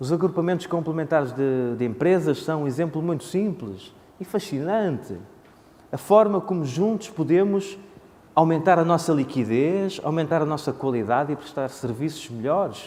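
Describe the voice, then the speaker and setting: A man with a Porto accent, fairly high-pitched, with lively intonation and a moderate pace. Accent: Porto accent, northern Portugal. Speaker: conference speaker on economics. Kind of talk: conference presentation. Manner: hesitant, many filler sounds.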